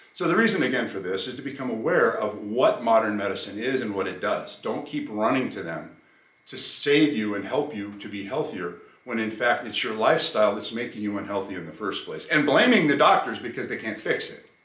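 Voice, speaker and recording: A man talks at a fairly quick pace, his loudness swinging widely. Noticeable background noise and audible room echo fill the recording. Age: 60s. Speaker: health and fitness coach. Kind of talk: talking-head monologue.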